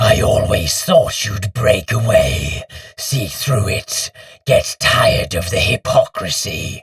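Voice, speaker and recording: A man's put-on character voice, wheezy and growling, at a fairly slow pace. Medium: read story. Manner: surly, contemptuous.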